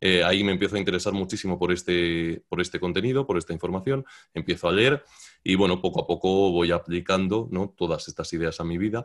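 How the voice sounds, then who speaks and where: A man's very deep, low voice with ordinary pitch variation, a fairly quick pace and a quiet background. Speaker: YouTube content creator. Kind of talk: interview conversation.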